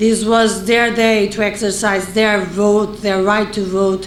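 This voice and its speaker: A woman with a non-native accent speaks fairly slowly at a medium pitch, her intonation monotone and flat. Noticeable background noise and audible room echo fill the recording. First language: non-English. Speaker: election observation mission head. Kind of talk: press conference statement. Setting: press conference, live streamed. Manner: halting, with fillers; formal.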